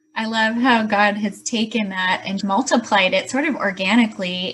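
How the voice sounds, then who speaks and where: Through noticeable background noise, a woman speaks at a medium pitch with fairly even intonation. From Chicago. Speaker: podcast host. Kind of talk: interview.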